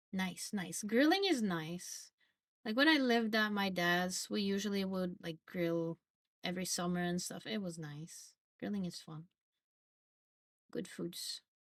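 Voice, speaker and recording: A woman in a Norwegian accent, with big swings in loudness and long, frequent pauses. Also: medium pitch for a woman, ordinary pitch variation, fairly slow pace. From Norway. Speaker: streamer. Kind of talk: casual chat. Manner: casual, filler-heavy.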